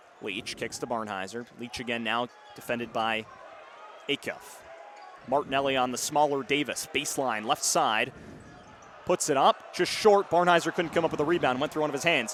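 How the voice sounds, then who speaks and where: Energetic in tone, a man speaks at a medium pitch with lively intonation. He leaves long, frequent pauses. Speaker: sports play-by-play announcer, college student. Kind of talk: live radio basketball play-by-play call. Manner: fast, energetic.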